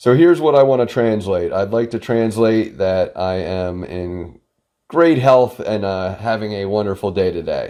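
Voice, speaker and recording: A plain, everyday voice from a man, with lively intonation and a moderate pace against a quiet background. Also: fairly low pitch for a man. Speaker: product reviewer. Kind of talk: product review tutorial. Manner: casual, filler-heavy.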